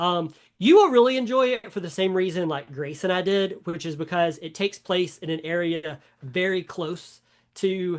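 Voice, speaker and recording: Against a quiet background, a man with a Southern US accent talks at a moderate pace in a high pitch with ordinary pitch variation. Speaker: podcast co-host. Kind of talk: casual chat. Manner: halting, many fillers.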